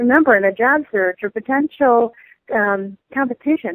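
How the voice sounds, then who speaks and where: A woman with an American accent has a plain, everyday voice, fairly high in pitch with ordinary variation, at a moderate pace. The sound is dry and close, with no echo. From US Midwest, Michigan. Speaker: human resources consultant and business lecturer. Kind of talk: interview.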